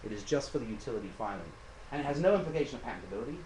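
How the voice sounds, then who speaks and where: A man speaks with audible room echo. Noticeable background noise is present too. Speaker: patent attorney giving a talk. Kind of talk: lecture. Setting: meeting with audience, live stream. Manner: fast.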